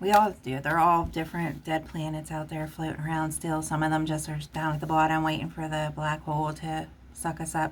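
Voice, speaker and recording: A woman with a Pittsburgh accent speaks at a fairly quick pace in a very deep, low pitch, with monotone, flat intonation and hardly any pauses. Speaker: tarot reader. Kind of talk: tarot reading.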